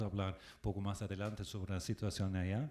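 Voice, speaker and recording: A man speaks with a German accent in a fairly low voice. The recording is very clean, with a silent background. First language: German (speaking Spanish). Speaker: ambassador. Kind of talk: panel talk. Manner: halting, many fillers.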